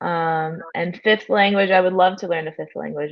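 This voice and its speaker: A woman speaks at a fairly slow pace. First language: Spanish. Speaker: blockchain nonprofit worker. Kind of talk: interview. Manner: halting with fillers.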